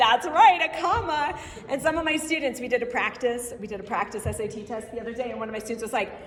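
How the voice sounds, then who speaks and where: At a very fast pace and high pitch, a woman talks in an animated tone with lively intonation and big swings in loudness, amid audible room echo and noticeable background noise. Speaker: Spanish teacher and conference presenter. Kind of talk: conference presentation. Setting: stage with audience.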